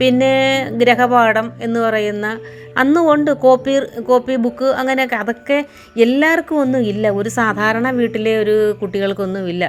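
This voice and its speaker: Music plays in the background while the voice moves with ordinary pitch variation. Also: woman, fairly high pitch for a woman. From Kerala. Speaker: storyteller. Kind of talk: reminiscing monologue. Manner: halting.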